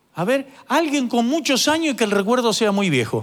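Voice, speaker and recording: The speaker has a Rioplatense accent. The pace is moderate. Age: 50s. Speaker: pastor. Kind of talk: sermon.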